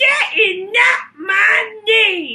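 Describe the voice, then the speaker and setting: Shouting in a put-on character voice, a woman speaks at an extremely high pitch. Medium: read story. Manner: sly, smug.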